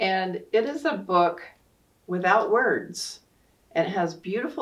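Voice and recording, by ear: Lively intonation runs through this natural voice reading aloud.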